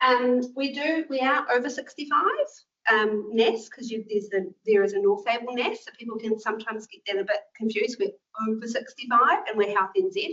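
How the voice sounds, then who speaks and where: A woman's high voice in a New Zealand accent, fairly quick and lively in intonation, with big swings in loudness. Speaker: clinical nurse manager. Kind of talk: presentation to health professionals. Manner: fast; casual, filler-heavy.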